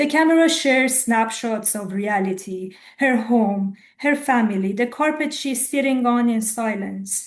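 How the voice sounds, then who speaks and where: A woman with an Iranian accent speaks at a fairly slow pace, her voice fairly high and somewhat breathy, with ordinary pitch variation over a quiet background. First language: Farsi. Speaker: poet. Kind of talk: poetry reading.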